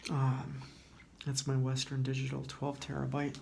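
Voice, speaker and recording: Soft-spoken and somewhat breathy, a man talks at a medium pitch with monotone, flat intonation. His pace is fairly slow, and audible room echo surrounds the voice. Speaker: YouTuber. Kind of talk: tutorial. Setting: library.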